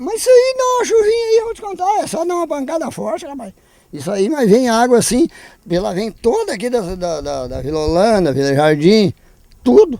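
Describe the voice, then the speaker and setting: A man speaks fairly quickly, his loudness swinging widely from moment to moment. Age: 60s. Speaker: local resident. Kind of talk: interview.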